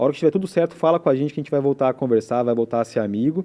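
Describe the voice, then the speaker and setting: At a very fast pace, a man talks in a fairly high voice with ordinary pitch variation. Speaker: telecom company representative. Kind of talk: podcast interview.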